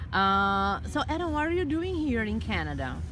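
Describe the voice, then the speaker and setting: Clear background music behind a woman's moderately paced voice. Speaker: English teacher. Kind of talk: English listening lesson interviewer. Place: garden.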